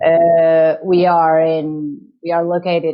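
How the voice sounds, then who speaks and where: Speaking at a very slow pace, a woman with a fairly low pitch talks in a Portuguese accent. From Portugal. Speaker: chamber of commerce director. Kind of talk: interview. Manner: halting, many hesitations.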